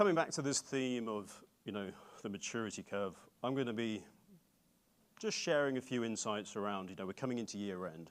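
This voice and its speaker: A man with an English accent at medium pitch, talking at a fairly quick pace broken by long, frequent pauses. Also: ordinary pitch variation. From England. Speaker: bank data platform executive. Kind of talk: conference keynote talk.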